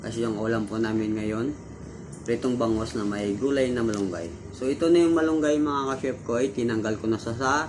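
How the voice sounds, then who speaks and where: With music in the background and audible room echo, the voice moves at a moderate pace with ordinary pitch variation. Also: man. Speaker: cooking video creator. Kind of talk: tutorial. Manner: casual, animated.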